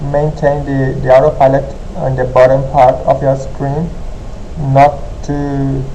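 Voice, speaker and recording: A man with a non-native accent, monotone and flat, fairly slow with long, frequent pauses, amid audible room echo and noticeable background noise. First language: not English. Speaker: gaming tutorial youtuber. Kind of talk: tutorial. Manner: halting.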